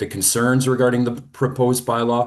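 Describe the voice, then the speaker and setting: A man speaks with a quiet background behind him. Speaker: urban planner delegate. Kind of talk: council delegation presentation. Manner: loud.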